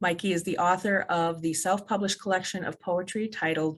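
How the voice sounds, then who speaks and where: A woman with an ordinary speaking voice talks at a moderate pace and a fairly low pitch. The recording is very clean, with a silent background. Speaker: library event host. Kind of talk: event introduction.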